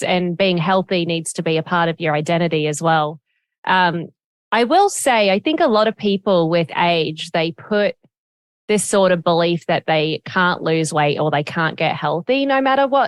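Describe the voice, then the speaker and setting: Over a quiet background, a woman speaks in a fairly low pitch at a moderate pace, with ordinary pitch variation, very even loudness and a dry, close sound with no echo. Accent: Australian. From Australia, Gold Coast. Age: 30s. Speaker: podcast host. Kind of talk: interview.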